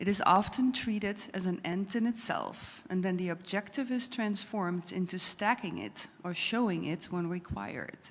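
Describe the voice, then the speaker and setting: With a Dutch accent, a woman speaks at a moderate pace and medium pitch, with ordinary pitch variation and hardly any pauses. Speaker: audience member. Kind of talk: reading aloud.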